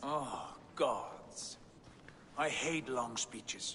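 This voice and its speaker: A man puts on a character voice at a fairly high pitch. Clear background noise is present. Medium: video game.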